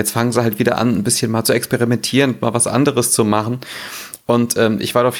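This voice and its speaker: A man with a medium-pitched voice talks at a fairly quick pace in a monotone, flat intonation, his loudness very even throughout. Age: 30s. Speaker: gaming blogger. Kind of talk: casual chat.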